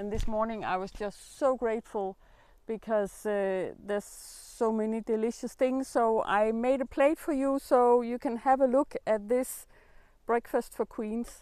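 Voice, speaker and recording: A woman at a fairly slow pace with fairly even intonation, dry sound with no echo and a quiet background. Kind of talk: casual vlog chat. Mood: warm, grateful. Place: garden. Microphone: camera far.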